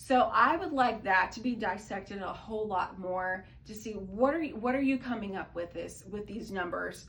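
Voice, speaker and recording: It is an unremarkable speaking voice at a fairly quick pace. The pitch varies in an ordinary way. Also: woman. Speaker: political commentary vlogger. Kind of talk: casual talk to camera.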